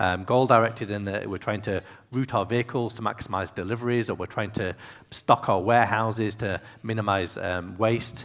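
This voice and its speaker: A man with a British accent speaks at a fairly quick pace. His pitch is fairly low and his intonation fairly even. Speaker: tech executive and conference speaker. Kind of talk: keynote talk. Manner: fast.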